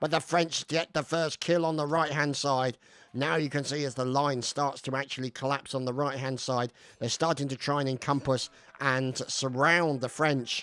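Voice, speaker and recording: Speaking in a British accent, a man with a fairly high voice keeps his intonation fairly even and his pace moderate. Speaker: gameplay commentator. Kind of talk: live game commentary.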